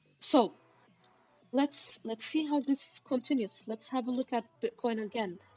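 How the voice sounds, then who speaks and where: Music plays in the background. A woman speaks fairly slowly at a high pitch, with ordinary pitch variation. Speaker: crypto trading livestreamer. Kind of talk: live stream chart analysis and chat. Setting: live stream.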